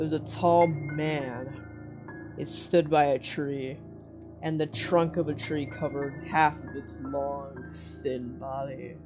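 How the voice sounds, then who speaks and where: Music plays in the background as a man with a fairly high pitch speaks at a very slow pace with ordinary pitch variation. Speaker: amateur story narrator. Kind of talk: horror story narration.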